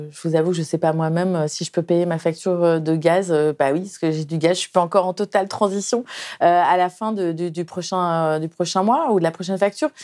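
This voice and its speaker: Her pitch sits fairly low, and this woman speaks at a fairly quick pace with fairly even intonation. The recording is very clean, with a silent background. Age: 50s. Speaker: journalist and author. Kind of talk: interview. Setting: studio. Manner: halting.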